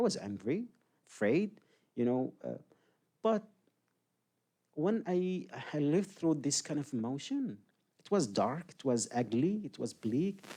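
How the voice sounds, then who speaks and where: A man talks at a fairly slow pace with long, frequent pauses. His fairly high voice has a dark, mellow tone and very wide pitch swings. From Yemen. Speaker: human rights advocate and former prisoner. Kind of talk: public talk Q&A.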